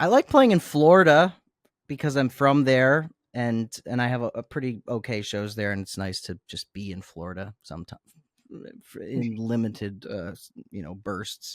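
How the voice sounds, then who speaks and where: A man with an ordinary speaking voice and an American accent, medium pitch, moderate pace, lively intonation and big swings in loudness, on a very clean, dry, close recording with no echo and a silent background. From US South. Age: 30s. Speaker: musician. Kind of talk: interview.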